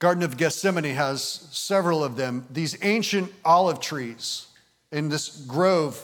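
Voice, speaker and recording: A man with an American accent speaks at a fairly high pitch. He keeps a fairly slow pace with ordinary pitch variation. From Michigan, US. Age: 50s. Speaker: pastor. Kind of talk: sermon. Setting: church. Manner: animated.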